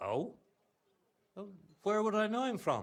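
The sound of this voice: In a put-on character voice, a man speaks high and fairly slowly, his pitch swinging very widely.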